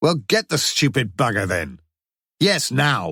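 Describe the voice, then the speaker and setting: In a put-on character voice, someone shouts and growls at a fairly slow pace, swinging very widely in pitch. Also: man, medium pitch for a man. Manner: furious, shouting.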